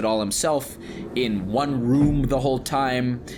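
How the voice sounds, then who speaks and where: A man's voice at medium pitch, with ordinary pitch variation. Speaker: podcast co-host. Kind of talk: casual chat. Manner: halting.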